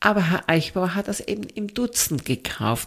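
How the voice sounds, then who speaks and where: A woman's voice at a medium pitch. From southern Germany, Swabia. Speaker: sommelier. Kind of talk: casual interview.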